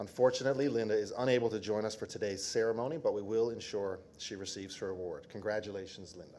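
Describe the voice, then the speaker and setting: Speaking at a very fast pace with hardly any pauses, a man uses a fairly low pitch and fairly even intonation. Background noise is noticeable. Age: old. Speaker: government minister. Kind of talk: award ceremony presentation. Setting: ceremony with audience. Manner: formal.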